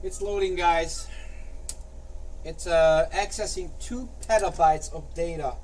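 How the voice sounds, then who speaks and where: A man at a fairly slow pace, with long, frequent pauses, big swings in loudness, audible room echo and noticeable background noise. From Hungary. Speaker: flight simulator streamer. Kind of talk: casual live-stream chat. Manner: animated.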